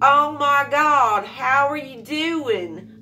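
A woman does a put-on character voice, high in pitch with ordinary variation. Clear background noise is present. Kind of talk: casual vlog chat. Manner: patronizing, syrupy.

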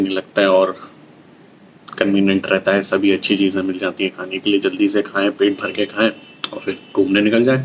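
Over light background noise, a man speaks at a moderate pace in a monotone, flat intonation and a fairly low pitch. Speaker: travel vlogger. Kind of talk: casual vlog chat. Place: cafe. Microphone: phone near.

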